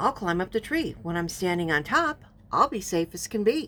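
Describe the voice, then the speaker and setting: A woman's put-on character voice at medium pitch and moderate pace. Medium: read story.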